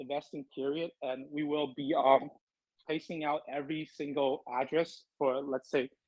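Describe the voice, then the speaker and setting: A man with a non-native accent, a fairly high pitch, flat monotone intonation and a moderate pace over a quiet background. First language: not English. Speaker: crypto project representative. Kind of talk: AMA interview answers. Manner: halting, many fillers.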